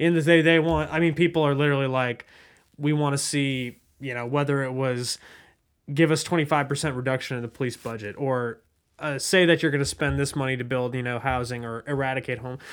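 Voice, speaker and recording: Speaking in a normal speaking voice with an American accent, a man talks at a fairly quick pace with a fairly high pitch and fairly even intonation. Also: very clean recording, silent background. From Southwest Ohio (West Chester). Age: 20s. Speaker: podcast host, journalist. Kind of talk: interview.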